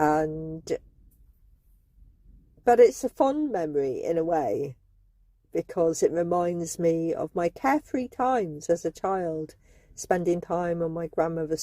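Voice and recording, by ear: Slow and fairly low-pitched, a woman's dark, mellow voice makes big pitch swings in a dry, close recording with no echo.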